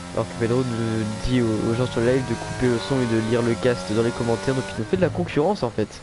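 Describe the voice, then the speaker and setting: Music plays in the background. A man talks very fast at a medium pitch. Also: ordinary pitch variation. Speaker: sim racing league commentator. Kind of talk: live commentary. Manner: animated.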